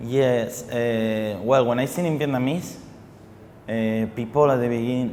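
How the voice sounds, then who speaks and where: With a Spanish accent, the speaker talks at a fairly slow pace and with fairly even intonation, over noticeable background noise and audible room echo. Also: man, medium pitch for a man. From Spain. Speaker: singer. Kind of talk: TV interview. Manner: halting, many repetitions and fillers.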